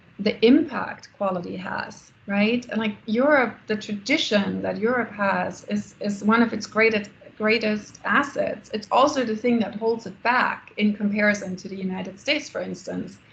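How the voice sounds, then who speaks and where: Spoken with a German accent at a moderate pace, with hardly any pauses and fairly even intonation, the voice carries audible room echo and noticeable background noise. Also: woman, fairly high pitch for a woman. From Germany. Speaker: architect and business founder. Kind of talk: Q&A after a lecture. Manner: halting, many fillers.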